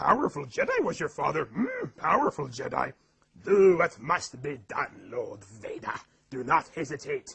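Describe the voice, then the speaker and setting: A man uses a put-on character voice, high in pitch. He speaks at a moderate pace. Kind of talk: comic impressions montage. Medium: solo performance.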